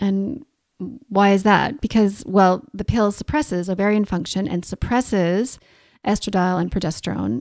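On a very clean recording with a silent background and a dry, close sound with no echo, a woman speaks at a medium pitch and a moderate pace with ordinary pitch variation. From Canada. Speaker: naturopathic doctor and podcast host. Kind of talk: educational solo podcast talk. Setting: home recording in New Zealand.

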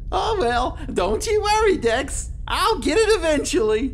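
Over clear background noise, a cartoonish character voice moves at a fairly slow pace. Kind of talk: children's puppet show.

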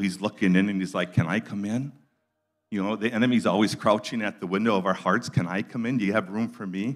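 A man talks at a fairly quick pace, and the background stays quiet. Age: 60s. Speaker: guest preacher. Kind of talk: sermon. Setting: church with live audience. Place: church. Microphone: handheld.

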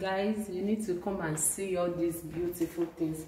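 Over light background noise and audible room echo, a woman speaks at a moderate pace in a flat, monotone voice of fairly low pitch. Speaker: student vlogger. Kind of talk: casual vlog chat. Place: hall. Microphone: phone near.

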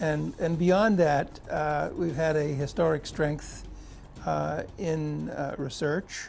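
A somewhat breathy man at a fairly high pitch speaks very slowly with long, frequent pauses, over light background noise. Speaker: pharmacy school dean. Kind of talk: promotional interview. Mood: warm, proud. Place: office. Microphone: lapel.

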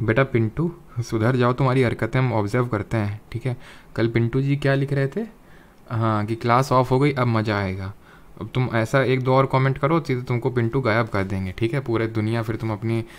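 At a moderate pace and with fairly even intonation, an unremarkable speaking voice comes through on a very clean recording with a silent background. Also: man, medium pitch for a man. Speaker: online exam-prep teacher. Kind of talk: lecture. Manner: conversational, addresses chat viewers.

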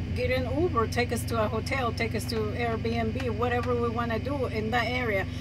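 A woman's voice amid loud background noise. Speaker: truck-living vlogger. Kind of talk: casual vlog chat. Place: car. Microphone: phone near.

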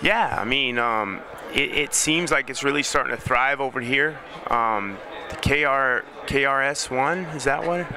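Speaking at a fairly slow pace with an American accent, a man with a fairly high pitch sounds dry with no echo, though noticeable background noise is present. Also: ordinary pitch variation. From United States. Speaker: professional MMA fighter. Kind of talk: interview. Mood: upbeat, proud, relaxed. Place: hall. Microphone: handheld.

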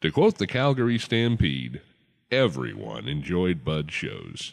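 With an animated, playful tone, a man speaks at a moderate pace in a very deep, low pitch marked by vocal fry and very wide pitch swings. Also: quiet background. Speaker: Western entertainer promoting another performer. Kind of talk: carnival-barker style promo pitch with folksy western patter. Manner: booming, animated showman delivery, playful and punchy.

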